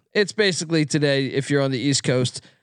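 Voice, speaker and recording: A man's unremarkable speaking voice, fairly high-pitched, with lively intonation and a fairly quick pace over a quiet background. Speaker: sports betting podcast host. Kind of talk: casual sports betting banter with ad reads. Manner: loud, profane, excitable.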